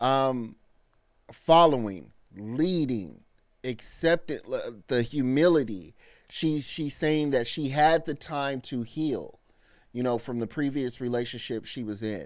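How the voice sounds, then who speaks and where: A man speaks very slowly at a medium pitch, with ordinary pitch variation and long, frequent pauses. The recording is very clean, with a silent background. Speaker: live-stream reaction host. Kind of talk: casual live-stream commentary.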